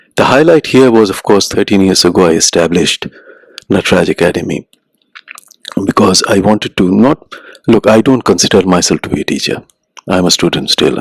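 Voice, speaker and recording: A man with a very deep, low voice and a gentle tone talks at a fairly quick pace in a dry, close sound with no echo. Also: ordinary pitch variation. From India, Ahmedabad. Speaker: writer and musician. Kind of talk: interview.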